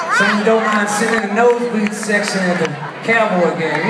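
Over crowd noise and audible room echo, a man talks at a fairly quick pace. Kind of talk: stage banter with audience. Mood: joking, casual. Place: stage.

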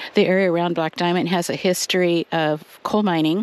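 A woman with a fairly low pitch talks at a moderate pace, the sound dry with no echo. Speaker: hiking vlogger. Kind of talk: trail tour narration. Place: forest.

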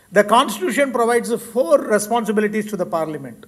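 At a moderate pace, the man delivers his words. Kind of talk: formal speech. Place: hall. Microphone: podium.

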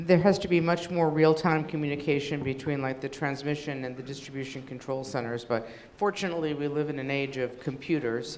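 This woman's voice is very deep and low, with ordinary pitch variation. She talks at a fairly quick pace with hardly any pauses. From New England. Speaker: federal energy regulator; conference panelist. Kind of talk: panel presentation. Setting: stage with audience.

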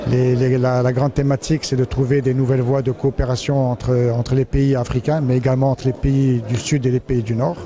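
A man talks at a very fast pace with hardly any pauses and monotone, flat intonation. The sound is dry with no echo, over light background noise. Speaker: security forum organizer. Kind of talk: interview. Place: hall. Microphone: handheld.

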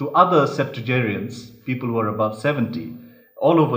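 The speaker uses a natural reading voice. It is heard throughout the clip.

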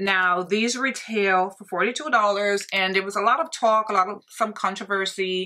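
Over a quiet background, a woman speaks in a bright, sharp tone at a moderate pace with ordinary pitch variation. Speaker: beauty vlogger. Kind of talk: casual vlog chat. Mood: chatty, somewhat stressed. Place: home room.

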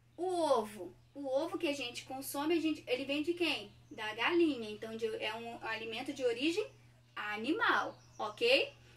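Her high-pitched voice has a warm tone and lively intonation as this woman speaks at a fairly slow pace. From Brazil. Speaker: primary school teacher. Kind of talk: online class for young children. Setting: recorded lesson at a whiteboard. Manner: warm, affectionate teacher tone. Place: home room. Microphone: phone near.

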